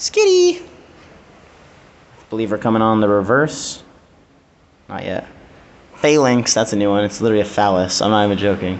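A fairly quick pace over light background noise. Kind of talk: casual card opening commentary. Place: home room. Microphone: phone near.

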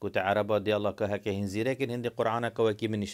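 A man with a Kurdish accent, in a quiet background. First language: Kurdish (speaking Arabic). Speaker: video blogger. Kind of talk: monologue to camera. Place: home room. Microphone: phone near.

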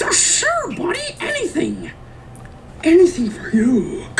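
Over clear background noise, someone delivers a put-on character voice at a fairly slow pace. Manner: sinister, insincere. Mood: amused, grinning.

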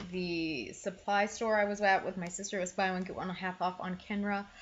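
A woman speaks over light background noise. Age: 30s. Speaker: lifestyle YouTuber. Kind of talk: casual haul monologue. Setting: home video recording. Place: home room. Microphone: webcam.

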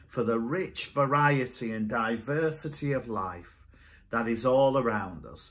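This man talks at a fairly slow pace, his pitch varying in an ordinary way. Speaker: minister leading online worship. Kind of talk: prayer and sermon. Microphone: webcam.

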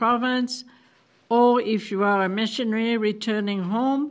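The woman's intonation stays fairly even, and the background is quiet. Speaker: council chair. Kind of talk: meeting report. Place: meeting room. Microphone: podium.

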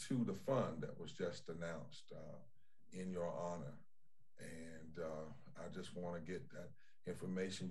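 Very deep and low, a man's voice sounds out. He keeps a moderate pace. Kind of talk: remarks and then an opening prayer. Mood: solemn prayerful cadence. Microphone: video call.

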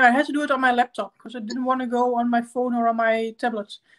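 Noticeable background noise sits under the clip. A woman speaks very fast in a high pitch. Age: 30s. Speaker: makeup YouTuber. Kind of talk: livestream makeup tutorial. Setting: live stream at home. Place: home room. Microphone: webcam.

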